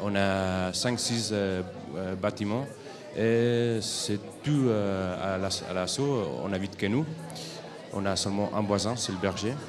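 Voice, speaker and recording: With audible room echo and noticeable background noise, a man in a Spanish accent speaks very slowly at a fairly low pitch. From Spain, Barcelona area. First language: Spanish or Catalan (speaking French). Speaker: European volunteer. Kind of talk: interview at a school forum. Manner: hesitant, many fillers.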